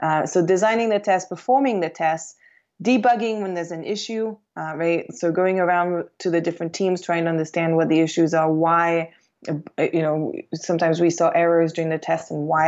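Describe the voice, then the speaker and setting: In an unremarkable speaking voice, a woman speaks at a fairly quick pace and a fairly low pitch, with ordinary pitch variation. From Quebec, Canada; teen years in England. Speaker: aerospace systems engineer. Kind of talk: interview.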